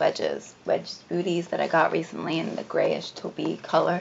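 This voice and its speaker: Over noticeable background noise, a woman with an American accent speaks at a fairly slow pace. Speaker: fashion vlogger. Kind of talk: casual chat. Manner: casual, hesitant with fillers.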